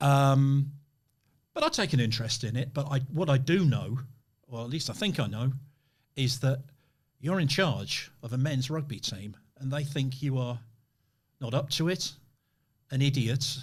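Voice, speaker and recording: Speaking at a moderate pace with long, frequent pauses, a man with a fairly high pitch sounds somewhat breathy. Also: ordinary pitch variation. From northern England. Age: 60s. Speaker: podcast host. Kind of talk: interview conversation.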